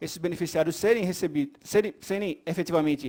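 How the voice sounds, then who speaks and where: Over a very clean recording with a silent background, a man talks at a fairly quick pace with ordinary pitch variation. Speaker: legislative budget consultant giving training. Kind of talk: lecture. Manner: fast.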